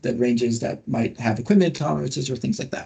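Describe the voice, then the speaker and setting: This man has a medium pitch and a dark, mellow tone. His voice is somewhat breathy. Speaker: industry scientist presenting guidelines. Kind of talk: webinar presentation. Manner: fast; animated.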